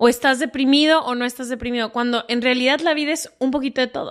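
Against a quiet background, a woman with a high pitch speaks at a fairly quick pace with ordinary pitch variation. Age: 30s. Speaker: podcast host. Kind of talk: casual chat.

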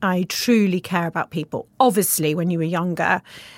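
Heard on a very clean recording with a silent background is a plain, everyday voice. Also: woman. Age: 40s. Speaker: entrepreneur. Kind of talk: interview. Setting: studio.

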